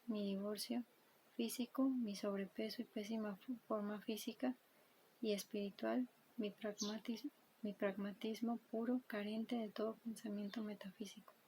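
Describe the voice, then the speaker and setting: The voice is soft-spoken. Its pace is fairly slow. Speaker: ASMR creator. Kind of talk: book reading.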